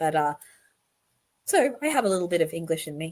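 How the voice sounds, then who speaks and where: A woman speaks with an Australian accent. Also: very clean recording, silent background. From born or raised in London, moved to Australia as a child. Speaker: online commentator on a court case. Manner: casual, chatty.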